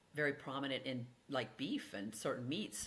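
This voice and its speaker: With an American accent, a woman speaks at a very deep, low pitch. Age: 70s. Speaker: physician and author. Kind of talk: podcast interview. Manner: halting, many fillers.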